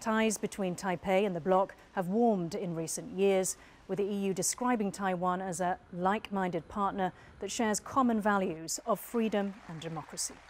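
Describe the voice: A woman with a slightly mellow tone talks at a medium pitch and moderate pace, with fairly even intonation and few pauses.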